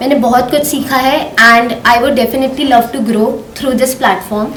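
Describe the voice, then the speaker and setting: Noticeable background noise and audible room echo surround the recording. A woman speaks at a high pitch with ordinary pitch variation. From Dehradun, Uttarakhand, India. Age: 20s. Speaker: student, pageant contestant. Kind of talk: interview testimony.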